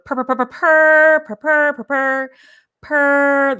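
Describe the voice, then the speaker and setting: This put-on character voice is high-pitched and delivered at a very slow pace. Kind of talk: teacher stressing a word. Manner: repeated, emphasized, drawn-out like a purr.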